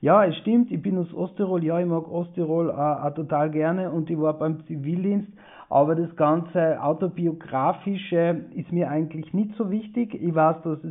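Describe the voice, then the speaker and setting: An ordinary speaking voice from a man, fairly high in pitch, at a moderate pace with ordinary pitch variation. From Austria, East Tyrol (Lienz). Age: 40s. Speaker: author. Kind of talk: interview. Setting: video call.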